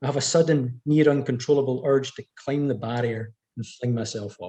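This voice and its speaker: A man's medium-pitched, somewhat breathy voice, dark and mellow in tone, with ordinary pitch variation and a fairly quick pace. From Scottish Highlands, north of Inverness. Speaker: author. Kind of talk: reading aloud.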